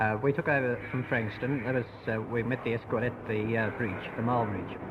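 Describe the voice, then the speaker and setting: Against noticeable background noise, a man with an Australian accent talks at a fairly quick pace. His pitch is medium, his intonation fairly even, and his loudness very even. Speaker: ambulance driver. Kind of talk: radio news interview answer.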